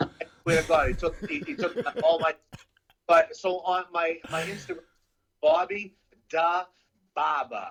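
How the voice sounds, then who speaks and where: With long, frequent pauses, a man speaks in a high pitch and a Boston accent, using ordinary pitch variation. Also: fairly slow pace. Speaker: jiu-jitsu practitioner and barber. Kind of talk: casual chat.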